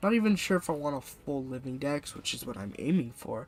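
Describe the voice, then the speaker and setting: The speaker's words come at a moderate pace while music sounds behind them. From Britain. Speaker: gaming streamer. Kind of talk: live game stream commentary.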